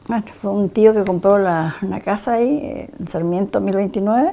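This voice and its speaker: A woman's medium-pitched voice at a moderate pace, with ordinary pitch variation, a normal speaking voice. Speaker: longtime resident. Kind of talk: interview.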